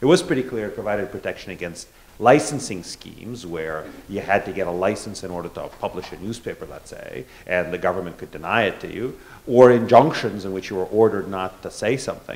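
Very fast and fairly low in pitch, a man's speech shows big swings in loudness. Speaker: law professor. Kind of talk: panel discussion. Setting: live event with audience. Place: hall. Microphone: handheld.

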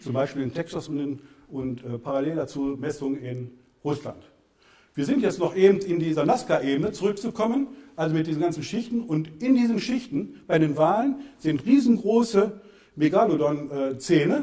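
Against a quiet background, a man with a fairly high pitch and a dark, mellow tone talks at a moderate pace with very wide pitch swings. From Germany, Lower Rhine / Bergisches Land (Solingen). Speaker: author and civil engineer giving a talk. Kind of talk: public lecture with slides. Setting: lecture hall with audience. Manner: halting, many fillers. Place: hall.

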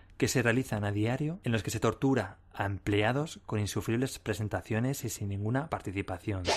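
A man's medium-pitched voice at a moderate pace, with ordinary pitch variation, on a very clean recording with a silent background. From Spain, Madrid. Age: 30s. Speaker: podcast host and corporate trainer. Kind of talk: podcast monologue. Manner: animated.

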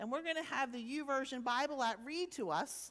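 A woman with a high voice talks at a moderate pace. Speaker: preacher. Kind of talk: sermon. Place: church.

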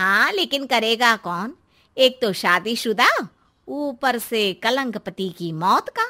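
Using a cartoonish character voice, a woman speaks at a fairly high pitch with a bright, sharp tone. Her intonation is lively and her pace slow.

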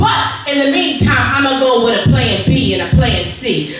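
A woman at a moderate pace, with strong room echo and noticeable background noise. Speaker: preacher. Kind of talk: sermon. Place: church.

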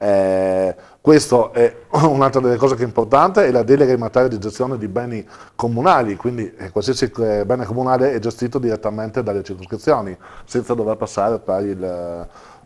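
Using a normal speaking voice, a man talks at a moderate pace with a medium pitch. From Trieste, Italy. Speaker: district council member. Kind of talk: TV interview discussion. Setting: studio. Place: studio. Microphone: lapel.

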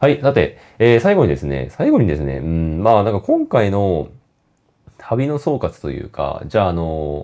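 Against a quiet background, a man with a fairly low pitch and a dark, mellow tone talks at a fairly quick pace, his pitch swinging very widely. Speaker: photography vlogger. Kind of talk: casual monologue vlog. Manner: talkative, many fillers.

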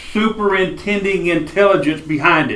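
A man is speaking. There is audible room echo. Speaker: Bible class teacher. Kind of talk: lecture. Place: classroom. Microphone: camera far.

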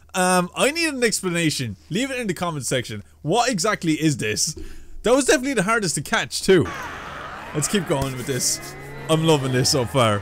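Speaking at a fairly quick pace, a man uses a fairly high pitch, a fairly bright tone and big pitch swings.

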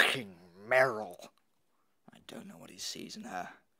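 A man puts on a raspy character voice with a smug tone. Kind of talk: comic inner monologue voice-over. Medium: short film. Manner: smug, petulant, melodramatic.

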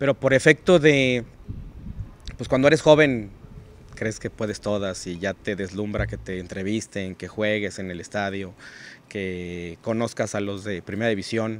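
A man with a plain, everyday voice, fairly low in pitch, at a fairly slow pace, with ordinary pitch variation, big swings in loudness, light background noise and dry sound with no echo. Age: 40s. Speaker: financial advisor and entrepreneur; podcast guest. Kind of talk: interview conversation. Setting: hotel recording location. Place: open country. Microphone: studio mic.

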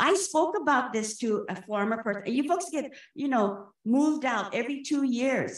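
A woman with a high pitch speaks in an animated tone. The background is quiet, though the room echo is audible. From Hawaii. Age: 60s. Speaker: public commenter at a government meeting. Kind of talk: public comment. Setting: public meeting. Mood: impassioned, indignant. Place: hall. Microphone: podium.

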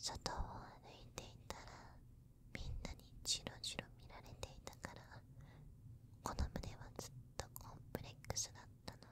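Soft-spoken whispering at a fairly slow pace, in a dry sound with no echo and light background noise. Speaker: character voice actor. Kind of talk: roleplay monologue addressed to listener. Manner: soft intimate whisper, slightly possessive.

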